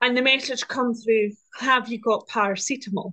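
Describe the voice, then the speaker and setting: A woman with a southern Scottish accent, fairly even intonation and a moderate pace. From Scotland, Dumfriesshire. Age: 20s. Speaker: land agent assistant and farmer. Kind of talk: casual chat.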